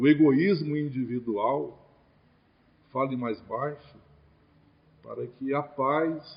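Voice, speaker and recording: A fairly high-pitched man at a very slow pace, with fairly even intonation. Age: 60s. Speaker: spiritist lecturer. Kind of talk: religious lecture.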